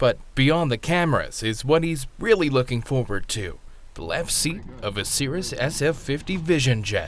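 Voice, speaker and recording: At a moderate pace comes a normal speaking voice. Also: man, fairly high pitch for a man, lively intonation. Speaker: news reporter. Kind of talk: news feature narration.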